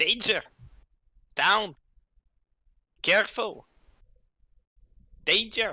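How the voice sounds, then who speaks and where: The speaker uses a put-on, raspy character voice at a fairly high pitch. The delivery is very slow, with long, frequent pauses. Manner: urgent, warning.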